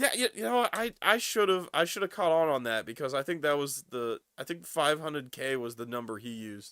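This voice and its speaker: Over a very clean recording with a silent background, a man with a fairly high pitch and a bright, sharp tone talks at a moderate pace with very wide pitch swings, the sound dry and close with no echo. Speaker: streamer. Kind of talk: casual livestream chat. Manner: casual, many false starts.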